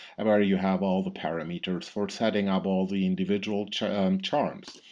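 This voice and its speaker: In a German accent, a man speaks at a fairly low pitch and a moderate pace with monotone, flat intonation. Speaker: product specialist. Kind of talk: software tutorial. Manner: halting, many fillers.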